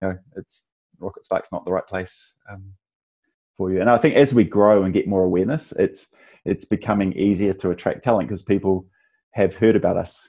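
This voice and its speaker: Over a quiet background, a man with a New Zealand accent speaks fairly quickly, his fairly low pitch carrying a dark, mellow tone. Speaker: tech company founder and CEO. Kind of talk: interview. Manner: halting, many restarts and fillers.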